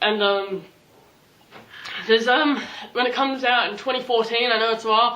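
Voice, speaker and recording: A woman with an Australian accent at a very fast pace, over noticeable background noise. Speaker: YouTuber, movie vlogger. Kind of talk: casual vlog talk. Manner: animated.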